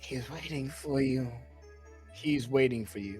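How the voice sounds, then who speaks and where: Clear music plays in the background as a raspy put-on character voice speaks at a low-to-middle pitch and a fairly slow pace. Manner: shadowy, ominous, repeating.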